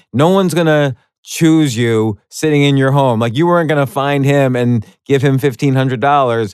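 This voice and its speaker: In an unremarkable speaking voice with an American accent, the speaker talks at a moderate pace with very even loudness and ordinary pitch variation. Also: man, fairly high pitch for a man. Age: 40s. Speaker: podcast host. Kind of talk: casual chat.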